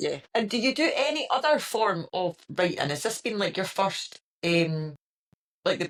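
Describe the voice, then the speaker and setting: In a Scottish accent, a woman talks at a fairly high pitch with very wide pitch swings. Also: fairly slow pace. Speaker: podcast host. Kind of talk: casual chat.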